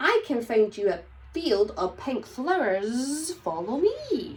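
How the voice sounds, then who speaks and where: Using a put-on character voice, a woman talks at a fairly slow pace with high pitch and very wide pitch swings. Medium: read story.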